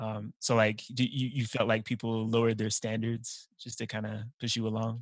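On a very clean recording with a silent background, a man with an American accent speaks at a moderate pace in a medium-pitched, monotone, flat voice. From Utah. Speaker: teacher and podcast host. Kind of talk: casual interview.

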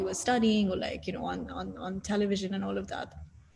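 Noticeable noise runs in the background. Over it, a woman talks fairly quickly. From Saudi Arabia, Indian family. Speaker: business founder. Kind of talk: interview. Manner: hesitant with fillers.

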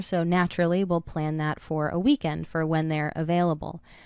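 A woman with a plain, everyday voice speaks at a fairly low pitch with fairly even intonation, in a very clean recording with a silent background. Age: 20s. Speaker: solo podcast host. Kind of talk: personal monologue. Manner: casual, with many fillers.

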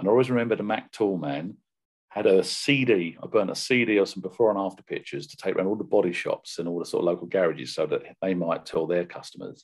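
Speaking very fast with lively intonation, a man with a British accent uses a fairly low pitch. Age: 50s. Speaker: professional car detailer and brand ambassador. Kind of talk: interview.

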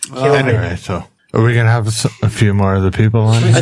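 An unremarkable speaking voice belongs to a man at medium pitch with fairly even intonation. He talks at a fairly quick pace, his loudness very even. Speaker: podcast co-host.

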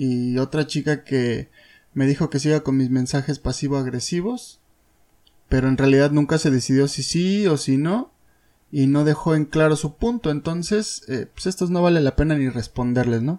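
A Mexico City accent at a moderate pace. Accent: Mexico City Spanish (chilango). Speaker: podcast host and blogger. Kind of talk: casual monologue. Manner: animated.

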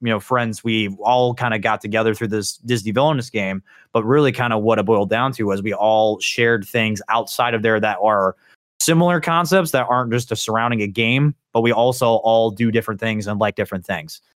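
A man with a plain, everyday voice, medium pitch and ordinary pitch variation, speaking at a fairly quick pace in a very clean recording with a silent background. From Indiana. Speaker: podcast host. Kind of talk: casual chat.

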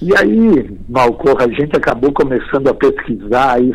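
A man's medium-pitched voice at a fairly slow pace. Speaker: folk poet and reciter. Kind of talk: radio interview. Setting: remote call. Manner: animated.

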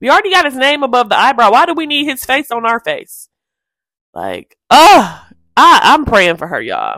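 A woman's raised, projected voice with an American accent, high in pitch, bright and sharp in tone, animated, at a moderate pace with long, frequent pauses, in a very clean recording with a silent background. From Detroit, US Midwest. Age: 30s. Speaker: podcast host. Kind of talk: casual solo chat.

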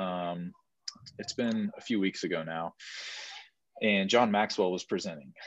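Speaking fairly slowly with long, frequent pauses, a man keeps a fairly even intonation in a dry, close sound with no echo. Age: 20s. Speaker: podcast co-host, young business owner. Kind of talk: casual chat.

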